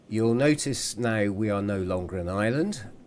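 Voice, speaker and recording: In a British accent, a man speaks at a moderate pace with a fairly low pitch and ordinary pitch variation. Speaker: gaming video creator. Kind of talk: gameplay commentary.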